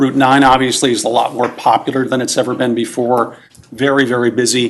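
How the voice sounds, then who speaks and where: At a moderate pace, a man talks in a normal speaking voice at medium pitch with an American accent. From Hudson Valley, New York (Town of LaGrange). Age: 60s. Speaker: resident speaking at public hearing. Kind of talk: public comment. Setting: town meeting room, microphone. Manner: casual, conversational.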